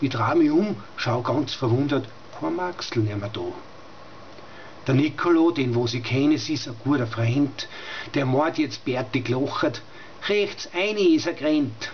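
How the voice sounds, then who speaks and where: Over light background noise, a man with a Styrian accent and fairly high pitch speaks at a fairly slow pace with lively intonation and long, frequent pauses. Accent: Styrian Austrian German dialect. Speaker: dialect poet. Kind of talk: dialect poetry reading. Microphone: webcam.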